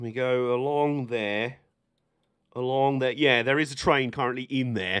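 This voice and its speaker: The voice has a British accent. It moves at a moderate pace. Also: man. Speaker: streamer playing train simulator. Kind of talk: live gameplay stream commentary. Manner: casual, chatty.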